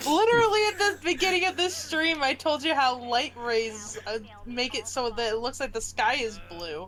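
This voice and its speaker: A woman with a high pitch speaks at a moderate pace, her pitch swinging very widely. She barely pauses, and there is noticeable background noise. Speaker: gaming streamer. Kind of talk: casual chat while gaming. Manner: animated.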